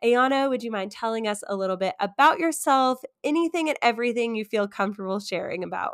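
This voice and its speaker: A woman with a fairly high pitch speaks very fast, with hardly any pauses. Her intonation is lively, and the recording is very clean with a silent background. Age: 20s. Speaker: podcast host. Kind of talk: casual chat.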